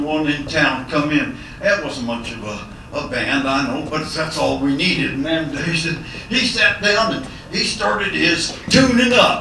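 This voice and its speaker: A man with a fairly high voice talks at a moderate pace, his pitch swinging very widely, with noticeable background noise behind him. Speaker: cowboy poet. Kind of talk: storytelling performance. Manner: folksy, humorous.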